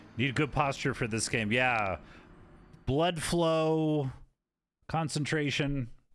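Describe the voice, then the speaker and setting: At a very slow pace, a fairly high-pitched man speaks with very even loudness and ordinary pitch variation, leaving long, frequent pauses. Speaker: video game streamer. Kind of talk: live gameplay stream chat. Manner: sounds sarcastic even when sincere.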